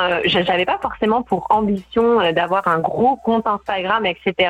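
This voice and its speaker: Music plays in the background as a woman speaks. Her pitch is fairly high, with ordinary variation. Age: 20s. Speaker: life coach. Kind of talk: radio interview. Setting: phone call.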